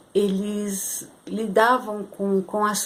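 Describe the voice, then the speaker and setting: A woman's medium-pitched, flat, monotone voice over noticeable background noise. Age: 60s. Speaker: spiritual channel host. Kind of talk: spiritual talk to camera. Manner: halting, many fillers.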